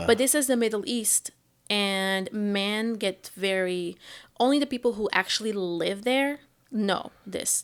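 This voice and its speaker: A woman at a medium pitch with a Portuguese accent, fairly slow pace and ordinary pitch variation, in a very clean recording with a silent background. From Portugal. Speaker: stand-up comedian. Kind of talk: interview answer.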